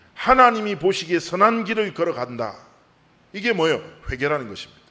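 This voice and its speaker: This man talks at a fairly quick pace, his high voice bright and sharp, with very wide pitch swings. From South Korea, Busan. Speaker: pastor. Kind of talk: sermon.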